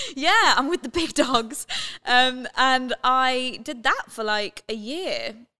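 Very slowly, a woman with a London accent speaks in a high, raised, projected voice. Her pitch varies in an ordinary way, and the sound is dry and close with no echo. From London, England (Watford). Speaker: radio presenter. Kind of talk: casual chat. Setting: studio.

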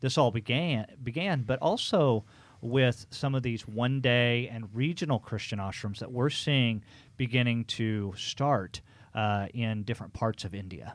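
On a very clean recording with a silent background, a man with an unremarkable speaking voice talks at a fairly slow pace and a medium pitch with lively intonation. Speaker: podcast host. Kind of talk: interview, host questioning guest.

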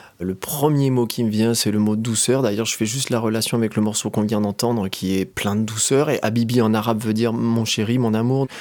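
A normal speaking voice from a man, medium in pitch, fairly quick and fairly even, with hardly any pauses. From France, Haute-Savoie (Annecy area). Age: 40s. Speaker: drawing teacher and illustrator. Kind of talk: interview.

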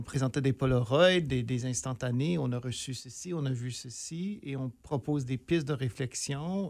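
This man has a normal speaking voice, medium in pitch, with lively intonation. He talks at a fairly slow pace in a very clean recording with a silent background. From northern Ontario, near Sudbury. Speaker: theatre director and professor. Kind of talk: casual interview.

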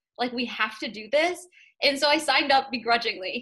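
Against a quiet background, a woman with an American accent speaks with fairly even intonation. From Massachusetts North Shore. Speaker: law student negotiation competitor. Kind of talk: interview.

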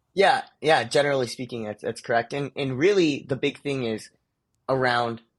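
A man talks at a moderate pace with an American accent. His pitch is medium and varies in an ordinary way. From US, Indian family. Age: 20s. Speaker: entrepreneur. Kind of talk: casual interview.

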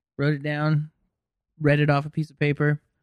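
A man with an American accent speaks at a fairly quick pace in a fairly high pitch. The sound is dry and close with no echo, over a quiet background. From Los Angeles, California. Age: 20s. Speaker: comedian. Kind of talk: casual chat.

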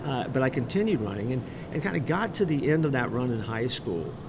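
Speaking very fast in an American accent, a man with a medium pitch swings his voice very widely, with audible room echo and noticeable background noise. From Florida, Orlando. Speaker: pastor and author. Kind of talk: interview. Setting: live event.

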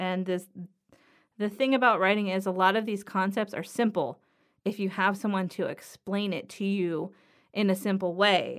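A woman's medium-pitched voice in an American accent, at a moderate pace with fairly even intonation, on a very clean recording with a silent background. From Southern California, Los Angeles area. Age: 30s. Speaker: podcast host, writer. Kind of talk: solo podcast monologue. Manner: casual, with many fillers.

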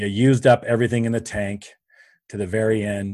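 A man with a Canadian accent, fairly low pitch and monotone, flat intonation at a moderate pace, against a quiet background. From Canada. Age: 50s. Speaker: business coach. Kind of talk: interview.

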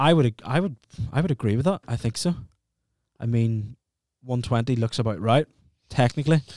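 A man with a Northern Irish accent at a medium pitch, with ordinary pitch variation, a fairly quick pace and long, frequent pauses, in a dry, close sound with no echo and a very clean recording with a silent background. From Northern Ireland. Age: 20s. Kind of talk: casual chat.

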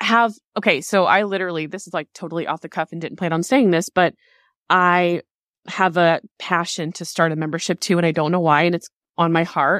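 Heard dry and close with no echo, a woman speaks at a moderate pace in a fairly low pitch. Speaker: podcast host and business coach. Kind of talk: casual interview chat. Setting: remote call. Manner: enthusiastic.

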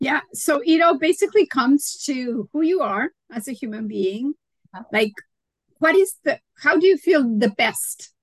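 A woman with a high pitch and very wide pitch swings talks at a fairly slow pace, the sound dry and close with no echo. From Mexico. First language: Spanish. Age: 60s. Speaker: holistic nutritionist. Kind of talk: interview. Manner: animated.

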